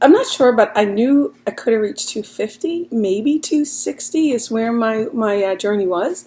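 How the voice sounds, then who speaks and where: Against noticeable background noise, a woman with a fairly high pitch talks at a moderate pace with lively intonation. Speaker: weight loss vlogger. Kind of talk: casual vlog. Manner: halting.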